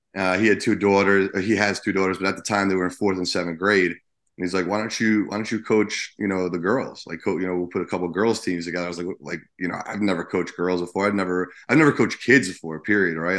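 Very deep and low, a man's voice runs at a very fast pace with an American accent and fairly even intonation over a quiet background. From New Jersey. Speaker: high school basketball coach. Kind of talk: casual interview. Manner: halting, many fillers.

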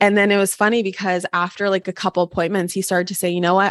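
A woman is talking with an American accent. Her pitch is fairly low. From Los Angeles and western Washington, US. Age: 20s. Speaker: personal development coach. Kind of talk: casual interview.

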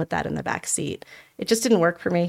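In a General American accent, a woman with a fairly low pitch uses fairly even intonation and a normal speaking voice, the sound dry and close with no echo. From Denver, Colorado. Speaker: education nonprofit leader. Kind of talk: interview. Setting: studio.

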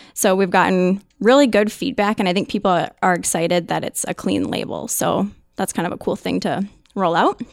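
A woman with an American accent speaks at a moderate pace and a medium pitch, with ordinary pitch variation and vocal fry, on a very clean recording with a silent background. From Minnesota. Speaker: social media manager. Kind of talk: interview.

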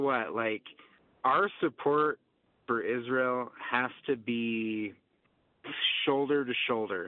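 A man talks at a very slow pace with long, frequent pauses. His pitch is medium, with ordinary pitch variation. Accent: American. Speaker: caller. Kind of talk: call-in comment. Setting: phone call.

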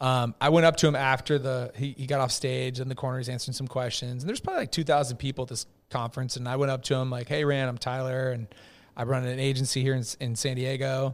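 Speaking very fast with monotone, flat intonation, a man with an Upper Midwest accent is heard in a very clean recording over a silent background. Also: medium pitch for a man. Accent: Upper Midwest American. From US Midwest (Edina, Minnesota). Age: 40s. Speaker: marketing agency founder. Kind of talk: casual chat.

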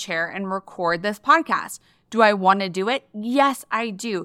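With a bright, sharp tone and an animated delivery, a woman talks at a moderate pace in a fairly high pitch on a very clean recording with a silent background. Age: 40s. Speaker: podcast host and Instagram marketing coach. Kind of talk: solo podcast monologue.

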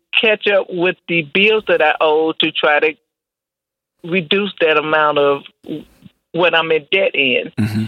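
A woman's voice at a fairly slow pace, with lively intonation. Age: 50s. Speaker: caller. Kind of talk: casual chat. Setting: phone call.

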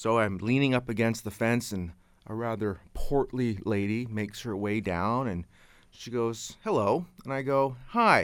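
A man with a Canadian accent and a normal speaking voice talks fairly slowly at medium pitch with ordinary pitch variation. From Canada. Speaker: local cable TV host. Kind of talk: casual chat. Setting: radio studio.

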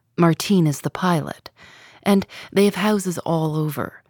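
This woman has a normal speaking voice pitched fairly low. The sound is dry and close, with no echo. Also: very clean recording, silent background. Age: 30s. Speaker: podcast host. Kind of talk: narrated interview podcast. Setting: radio studio.

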